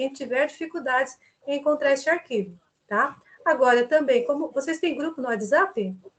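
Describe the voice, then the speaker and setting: A woman with a high voice speaks at a moderate rate, her pitch moving in a usual way. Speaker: university tutor. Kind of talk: online class orientation.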